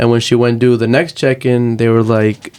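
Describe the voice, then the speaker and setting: Fairly quick speech from a man with a Spanish accent and a medium pitch. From Texas, moved from Uruguay at five. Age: 20s. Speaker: activist and aspiring lawyer. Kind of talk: interview.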